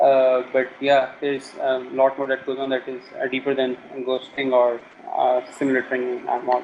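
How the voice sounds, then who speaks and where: Noticeable background noise sits under a man speaking with a South Asian accent. His medium-pitched voice moves at a moderate pace with monotone, flat intonation. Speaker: game hacker and programmer. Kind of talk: interview. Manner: hesitant, many filler sounds.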